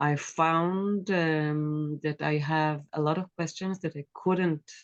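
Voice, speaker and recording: In an Israeli accent, a woman speaks very slowly with a very deep, low pitch and monotone, flat intonation, in a dry, close sound with no echo. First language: Hebrew. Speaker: author and former politician. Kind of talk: interview. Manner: halting, with many fillers.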